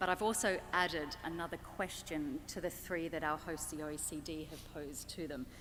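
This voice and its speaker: A woman with an Australian accent talks at a moderate pace with hardly any pauses. Her pitch is fairly low, with ordinary variation. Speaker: panel moderator. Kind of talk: panel introduction.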